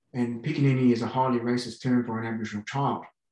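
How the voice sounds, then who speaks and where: Against a quiet background with audible room echo, a man with an Australian accent speaks at a medium pitch. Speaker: archaeologist; conference panelist. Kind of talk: conference Q&A comment. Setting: video call. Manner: halting. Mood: earnest, somewhat frustrated. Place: home room. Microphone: video call.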